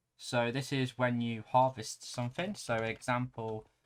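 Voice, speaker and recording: Speaking at a fairly slow pace, a man uses a normal speaking voice at a medium pitch. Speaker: Minecraft plugin tutorial youtuber. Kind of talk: screen-recorded tutorial.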